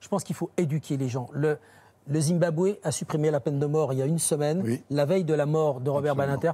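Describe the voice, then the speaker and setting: A man's very fast, somewhat breathy delivery at a fairly high pitch, with a dark, mellow tone and ordinary pitch variation. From France, Saône-et-Loire; France. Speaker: crime journalist. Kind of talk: TV panel discussion. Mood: earnest, reflective. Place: studio. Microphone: lapel.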